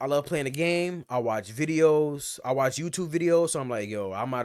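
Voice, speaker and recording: Recorded very cleanly against a silent background, a man with an ordinary speaking voice talks at a fairly quick pace with ordinary pitch variation. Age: 30s. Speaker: streamer reacting to videos. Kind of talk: casual reaction commentary.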